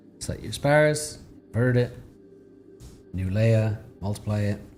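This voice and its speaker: Music plays in the background. Over it, a man speaks at a fairly low pitch. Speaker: digital artist. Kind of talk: live tutorial. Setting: live stream. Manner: fast; casual, halting.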